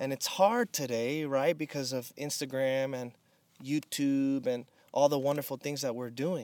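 A man speaks at a moderate pace with fairly even intonation and fairly high pitch, in an unremarkable speaking voice. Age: 30s. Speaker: pastor. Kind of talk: casual chat. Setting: in person at a rented house in the desert.

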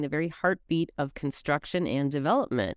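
A woman's unremarkable speaking voice at a moderate pace, ordinary in pitch variation, dry and close with no echo, on a very clean recording with a silent background. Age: 50s. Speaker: podcast host, business owner. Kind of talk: interview.

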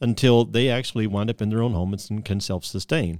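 The recording is very clean, with a silent background. A man talks at a fairly quick pace in a plain, everyday voice with ordinary pitch variation. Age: 50s. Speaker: podcast host. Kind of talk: casual chat. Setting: studio.

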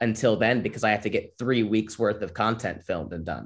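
This is a normal speaking voice with fairly even intonation at a fairly quick pace. The background is quiet. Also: man. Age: 20s. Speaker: comedian. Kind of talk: casual chat.

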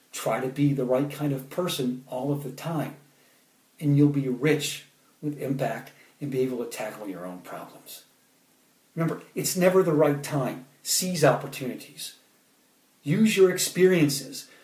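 Moderate pace with long, frequent pauses, big swings in loudness, and audible room echo. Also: man, fairly high pitch for a man, ordinary pitch variation. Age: 30s. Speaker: poet and motivational speaker. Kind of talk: motivational talk with poetry readings. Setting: Facebook Live stream.

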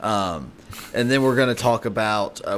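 A man speaks at a moderate pace with an unremarkable speaking voice. His pitch varies in an ordinary way. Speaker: podcast co-host. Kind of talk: casual chat.

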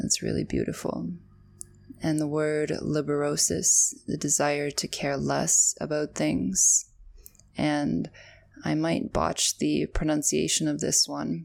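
A woman speaks at a very slow pace in a very deep, low voice with vocal fry. Her pitch swings very widely. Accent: Canadian. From Canada. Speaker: podcast host and emotional wellness practitioner. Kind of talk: scripted solo podcast monologue with guided breathing. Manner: calm, soothing, earnest.

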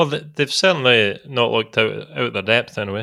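A man with a Scottish accent speaks at a moderate pace in a bright, sharp tone. The recording is very clean, the background silent. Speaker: former footballer. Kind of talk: casual chat.

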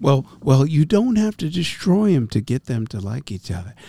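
A man with an American accent speaks at a moderate pace in a somewhat breathy voice, his pitch swinging very widely. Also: dry, close sound with no echo. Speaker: podcast co-host. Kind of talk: casual banter.

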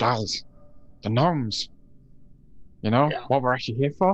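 A put-on character voice is delivered at a moderate pace. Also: man, medium pitch for a man. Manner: eager, sheepish.

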